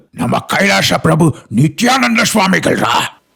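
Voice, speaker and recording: A man puts on a raspy, cartoonish character voice. His pitch sits fairly high and swings very widely. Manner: sarcastic, teasing.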